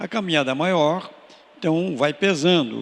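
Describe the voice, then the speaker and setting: A man speaks with ordinary pitch variation. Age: 80s+. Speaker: retired archbishop. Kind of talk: radio interview, pastoral reflection. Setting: radio studio.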